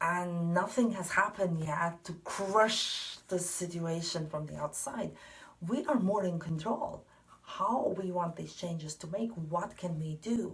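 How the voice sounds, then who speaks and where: Against noticeable background noise, a woman with a non-native accent talks at a fairly slow pace, her fairly low pitch showing ordinary variation. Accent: non-native English, mispronounces some words. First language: not English. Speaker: tarot card reader. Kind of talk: spiritual card reading monologue. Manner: hesitant, many fillers.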